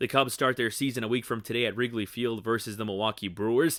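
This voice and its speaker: The recording of this man is very clean, with a silent background and a dry, close sound with no echo, and his tone is bright and sharp. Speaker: sports reporter. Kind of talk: TV newscast read.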